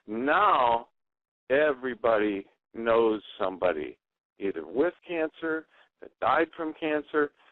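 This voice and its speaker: The intonation is lively, with big swings in loudness. Delivery is fairly slow, broken by long, frequent pauses. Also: man. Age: 60s. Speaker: guest on talk radio sharing cancer experience. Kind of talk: radio interview. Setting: internet radio show.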